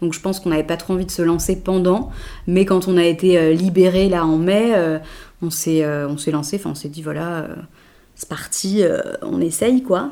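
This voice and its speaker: A woman speaks with a dark, mellow tone at a fairly low pitch. Her speech has long, frequent pauses. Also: ordinary pitch variation, moderate pace. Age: 30s. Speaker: TV journalist, pregnant woman. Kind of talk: casual interview.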